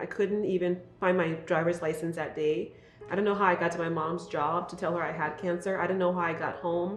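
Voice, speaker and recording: A woman speaks at a fairly quick pace with a fairly low pitch and monotone, flat intonation. Audible room echo and noticeable background noise fill the recording. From Liberia. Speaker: talk show host and cancer advocate. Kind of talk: interview. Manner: fast; loud.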